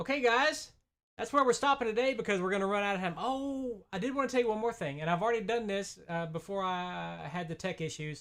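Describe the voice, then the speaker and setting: A man's very fast speech with lively intonation, against a quiet background. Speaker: tech tutorial host. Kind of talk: live tutorial. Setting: live stream with screen share.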